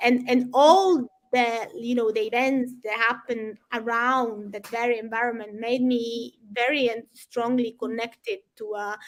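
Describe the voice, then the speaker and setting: Speaking in a Sicilian accent, a woman keeps a fairly slow pace with hardly any pauses. Her pitch is fairly high and her intonation fairly even. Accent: Italian (Sicilian) accent in English. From Sicily, southern Italy. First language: Italian. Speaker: environmental campaigner. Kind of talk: interview. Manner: halting, many repetitions and fillers.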